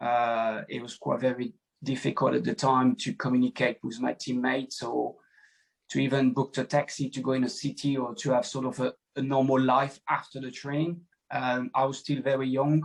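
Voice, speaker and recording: This man has a French accent and a medium pitch. He talks at a moderate pace with fairly even intonation. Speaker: former footballer. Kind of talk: podcast interview. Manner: halting.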